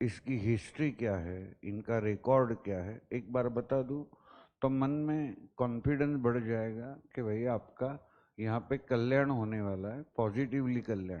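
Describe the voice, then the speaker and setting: This is an ordinary speaking voice with ordinary pitch variation. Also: man, medium pitch for a man. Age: 50s. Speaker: teacher. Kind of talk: lecture. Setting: classroom. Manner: mix of Hindi and English.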